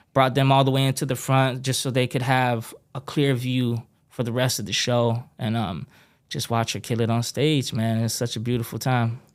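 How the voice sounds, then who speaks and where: On a very clean recording with a silent background, a man at medium pitch speaks at a moderate pace with fairly even intonation. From Texas, after early childhood in Hawaii. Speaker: music producer and pipefitter. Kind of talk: casual interview conversation. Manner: casual, laid-back with many fillers.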